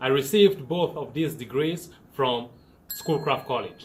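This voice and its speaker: A man with a Cameroonian accent speaks at a fairly high pitch with ordinary pitch variation. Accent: Cameroonian accent, non-native English. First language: French. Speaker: engineering student. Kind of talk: scripted presentation.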